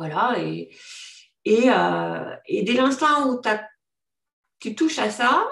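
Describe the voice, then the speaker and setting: This woman speaks with a fairly high pitch. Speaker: life coach and business owner. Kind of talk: testimonial interview. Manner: halting.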